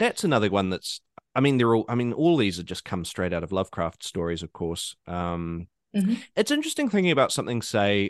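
A man with a New Zealand accent talks at a medium pitch and a fairly quick pace, with very wide pitch swings. The sound is dry and close with no echo, over a quiet background. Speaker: podcast host.

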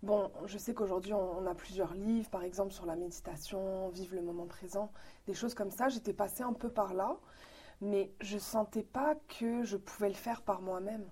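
A woman speaks at a medium pitch and a moderate pace, with ordinary pitch variation. She has a plain, everyday voice. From Morocco, then Quebec from age 13. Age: 30s. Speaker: philosophy school volunteer. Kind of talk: interview.

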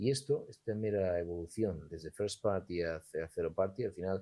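A man's very deep, low voice shows ordinary pitch variation. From Spain, raised partly in Gijón, Asturias. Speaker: entrepreneur and lawyer. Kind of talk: interview conversation.

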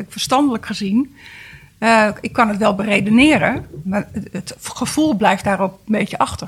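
A woman talks at a medium pitch, somewhat breathy, with ordinary pitch variation. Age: 50s. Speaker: guest with a personal problem. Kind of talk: casual chat.

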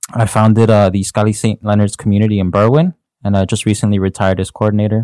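In a Chicago accent, a dark, mellow voice speaks at a very fast pace with monotone, flat intonation, recorded very cleanly with a silent background and a dry, close sound with no echo. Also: man. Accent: Chicago American English. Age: 20s. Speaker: youth ministry volunteer. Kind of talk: podcast conversation.

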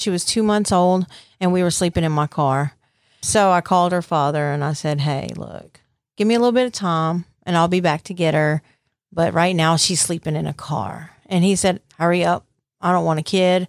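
Speaking with a Southern US accent, a woman with a fairly low voice talks at a moderate pace with ordinary pitch variation in a very clean recording with a silent background. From US South (Mississippi Gulf Coast). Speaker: recovered addict. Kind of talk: testimony.

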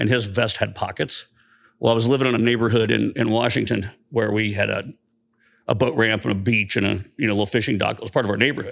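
A man with an American accent talks very fast with vocal fry, on a very clean recording with a silent background. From central Indiana. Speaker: army medic veteran. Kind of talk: casual chat. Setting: studio.

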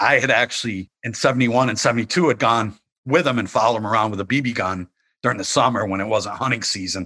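At a very fast pace, a man with an American accent talks in a bright, sharp tone, medium in pitch with ordinary pitch variation. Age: 50s. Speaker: journalist and author. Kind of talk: interview.

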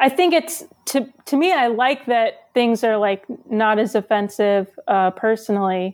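This woman has a plain, everyday voice with an American accent and ordinary pitch variation. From New Jersey. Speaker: stand-up comedian. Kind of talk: casual chat. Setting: video call.

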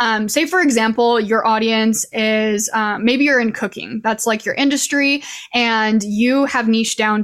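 An unremarkable speaking voice from a woman, fairly high-pitched, fairly slow and fairly even in intonation. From Idaho. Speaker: social media coach. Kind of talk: interview.

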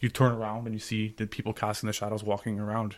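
A man with a Canadian accent at medium pitch and a very fast pace, in a very clean recording with a silent background. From Ottawa, Canada. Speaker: project coordinator with a philosophy degree. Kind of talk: casual interview chat.

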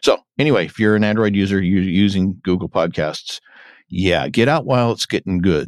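Recorded very cleanly against a silent background, a man with a normal speaking voice talks at a fairly low pitch with ordinary pitch variation in a dry, close sound with no echo. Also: moderate pace. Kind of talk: casual podcast discussion of a TV episode.

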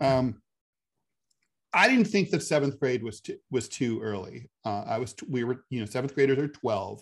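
A man with a normal speaking voice talks at a medium pitch and a fairly quick pace. His intonation is lively, and the background is quiet. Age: 50s. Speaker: podcast co-host, political commentator. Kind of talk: casual political chat.

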